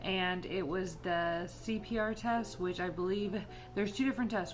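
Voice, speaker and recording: Music plays in the background as a woman speaks with an American accent. Her pitch is medium, and the room echo is audible. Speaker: vlogger and nurse. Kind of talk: casual vlog chat. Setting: outdoors walking dog. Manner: animated.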